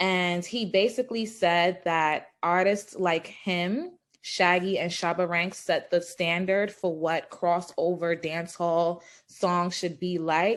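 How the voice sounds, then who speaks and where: A woman's fairly low voice at a very slow pace with fairly even intonation, on a very clean recording with a silent background. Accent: New York. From Brooklyn, New York (Flatbush). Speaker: interviewer. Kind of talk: interview.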